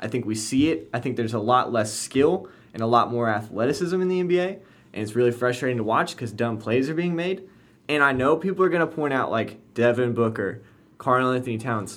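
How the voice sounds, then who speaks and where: At a fairly quick pace, a plain, everyday voice carries lively intonation. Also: man, medium pitch for a man. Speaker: sports podcast host. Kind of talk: casual sports chat.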